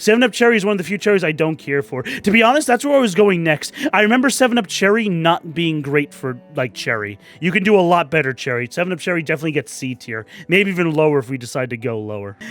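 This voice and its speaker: Over music in the background, a man talks at a very fast pace with hardly any pauses, his high voice making very wide pitch swings. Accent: American. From New York City. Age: 30s. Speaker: YouTuber. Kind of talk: casual commentary. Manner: halting.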